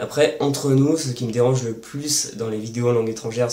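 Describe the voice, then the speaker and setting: Amid noticeable background noise and audible room echo, a man at medium pitch talks at a fairly quick pace with fairly even intonation. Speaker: language-learning youtuber. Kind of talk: casual Q&A monologue. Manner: fast; hesitant with fillers.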